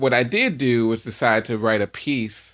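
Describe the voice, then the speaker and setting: With an ordinary speaking voice and an American accent, a man speaks at a moderate pace in a very clean recording with a silent background. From US, Washington DC. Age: 40s. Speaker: musician and composer. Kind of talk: casual interview.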